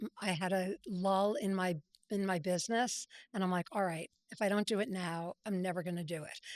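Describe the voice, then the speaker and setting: Speaking at a moderate pace and medium pitch, a woman has a normal speaking voice with ordinary pitch variation in a dry, close sound with no echo. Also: very clean recording, silent background. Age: 60s. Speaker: brand strategist and entrepreneur. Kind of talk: interview. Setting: podcast interview.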